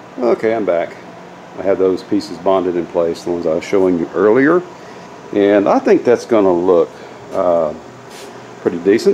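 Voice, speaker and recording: There are long, frequent pauses as a man speaks over light background noise. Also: moderate pace. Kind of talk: tutorial. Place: garage. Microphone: phone near.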